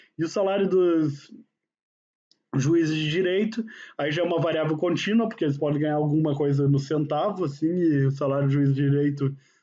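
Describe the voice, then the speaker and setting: Amid audible room echo, a man with a fairly high pitch speaks fairly quickly at a very even loudness. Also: ordinary pitch variation. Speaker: university professor. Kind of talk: lecture. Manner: casual, conversational.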